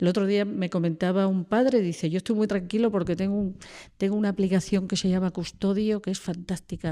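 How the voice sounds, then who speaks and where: On a very clean recording with a silent background, a woman talks at a moderate pace in a medium pitch with a dark, mellow tone and fairly even intonation. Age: 60s. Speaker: social educator at a secondary school. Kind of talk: podcast interview.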